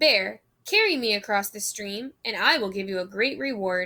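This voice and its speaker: A woman speaks at a moderate pace in a put-on character voice, her pitch sitting in the medium range. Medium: read story.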